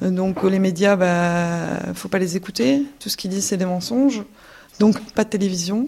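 At a moderate pace, this voice has a dark, mellow tone and ordinary pitch variation. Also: woman, medium pitch for a woman. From Belgium. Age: 20s. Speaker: former ISIS member, returnee. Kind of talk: testimony. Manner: halting.

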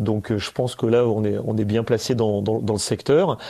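A man speaks in a dark, mellow tone. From Valence, Drôme, France. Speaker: radio host. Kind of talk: casual chat. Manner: halting, repeats words.

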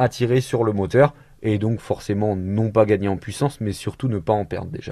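The voice has a dark, mellow tone and fairly even intonation over a quiet background. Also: man. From France, Mayenne. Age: 20s. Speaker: driving instructor and entrepreneur. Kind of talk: radio interview.

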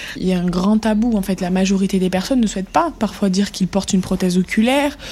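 A woman speaks at a fairly quick pace with medium pitch and ordinary pitch variation over noticeable background noise. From southern France, Montpellier. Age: 20s. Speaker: ocularist and social media creator. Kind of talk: interview. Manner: animated.

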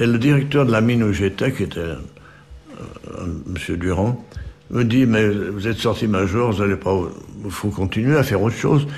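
A man's voice, moving through ordinary ups and downs in pitch, comes through noticeable background noise. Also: fairly low pitch for a man, moderate pace. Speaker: retired mining engineer. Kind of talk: oral history testimony. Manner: halting, many repetitions.

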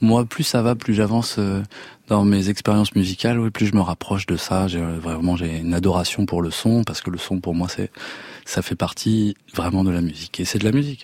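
Pitched very deep and low, a man's voice moves at a moderate speed with ordinary pitch variation. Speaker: singer. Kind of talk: casual chat. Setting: studio. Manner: halting.

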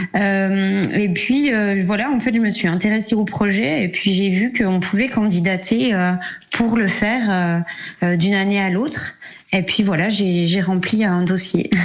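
A woman speaks at a medium pitch and a very slow pace, with ordinary pitch variation. Her loudness stays very even over noticeable background noise. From Jura, eastern France. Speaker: amateur cyclist, cycling association member. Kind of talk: radio interview. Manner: halting, many fillers.

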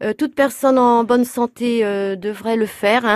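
This is a woman's voice. Her intonation is fairly even. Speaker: blood donation volunteer. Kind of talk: interview. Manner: halting.

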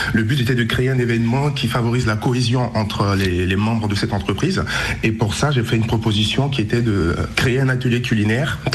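A man's medium-pitched voice at a fairly quick pace, very even in loudness with ordinary pitch variation, along with audible room echo and noticeable background noise. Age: 20s. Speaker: event organizer. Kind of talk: radio interview. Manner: halting, many repetitions and fillers.

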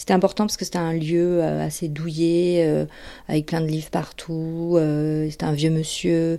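This woman talks at a fairly slow pace with a fairly low pitch. Her tone is dark and mellow. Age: 40s. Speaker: former therapy patient. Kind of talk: testimony. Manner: halting.

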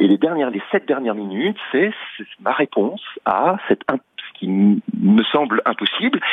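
Using very wide pitch swings, a man with a medium pitch speaks at a fairly slow pace. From Paris suburbs, France. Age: 50s. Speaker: magician. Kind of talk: radio interview. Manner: halting, many repetitions.

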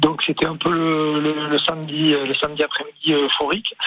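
A man's fairly high-pitched voice is accompanied by noticeable background noise. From Bayonne, French Basque Country. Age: 50s. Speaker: rugby coach. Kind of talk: radio interview. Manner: halting, many repetitions.

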